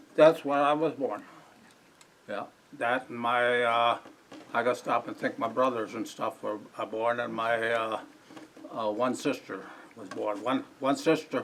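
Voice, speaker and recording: Speaking at a fairly slow pace with long, frequent pauses, this voice keeps a fairly even intonation in an Upper Midwest accent. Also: man, medium pitch for a man. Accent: Upper Midwest (Wisconsin). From Wisconsin, US Midwest. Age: 80s+. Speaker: local elder interviewed by historical society. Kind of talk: oral history interview before audience. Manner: halting, searching for words.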